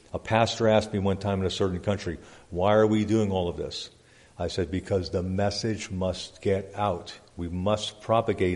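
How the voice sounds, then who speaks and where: The man's pitch is fairly low. His intonation is monotone and flat. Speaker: pastor. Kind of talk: church report reading. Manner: fast.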